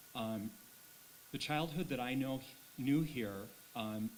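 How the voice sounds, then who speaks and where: Noticeable background noise sits behind a man with an American accent. He speaks at a moderate pace with ordinary pitch variation. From Minnesota, Brainerd. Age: 60s. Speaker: school board chair. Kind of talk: board meeting remarks. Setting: school board meeting.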